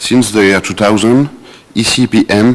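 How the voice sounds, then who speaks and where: Speech with a French accent comes through noticeable background noise. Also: man. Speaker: NGO program director. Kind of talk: prepared panel speech.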